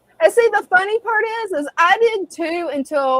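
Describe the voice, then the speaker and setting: Recorded with a dry, close sound and no echo, a woman speaks with an American accent. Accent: Southern US accent, toned down. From US South. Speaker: live stream co-host. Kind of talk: casual live stream chat.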